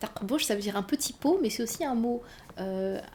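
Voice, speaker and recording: A woman's dark, mellow tone with a North African accent. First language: Berber (speaking French). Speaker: novelist. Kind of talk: interview. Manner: halting.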